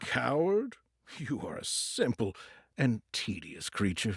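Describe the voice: A man's put-on character voice at medium pitch, slow and husky with a rough edge and vocal fry, swinging very widely in pitch, in a dry, close recording with no echo.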